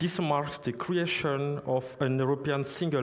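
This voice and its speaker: A man's fairly high voice with a non-native accent, fairly slow pace, ordinary pitch variation and audible room echo. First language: not English. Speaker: conference speaker on crypto compliance. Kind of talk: conference talk. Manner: halting, many fillers.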